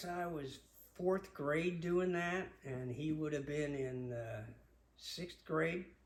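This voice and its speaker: A man with an American accent speaks at a very slow pace with ordinary pitch variation. Audible room echo and noticeable background noise are present. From Long Island, New York. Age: 70s. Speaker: father telling family memories. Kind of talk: personal storytelling. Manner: halting, many filler words.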